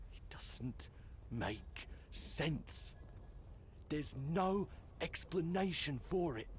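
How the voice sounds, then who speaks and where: In a put-on character voice, the speaker goes at a very slow pace with long, frequent pauses against clear background noise. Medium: video game. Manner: rambling, haunted.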